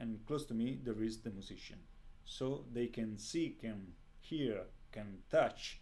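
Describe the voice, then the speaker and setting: In an Italian accent, a man speaks very slowly at medium pitch with ordinary pitch variation and a dark, mellow tone, and audible room echo surrounds him. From Italy. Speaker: composer. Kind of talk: interview. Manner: halting.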